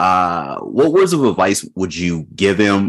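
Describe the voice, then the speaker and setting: This is a man with an ordinary speaking voice. He talks at a fairly slow pace with a fairly low pitch. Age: 40s. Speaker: podcast host. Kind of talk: casual chat.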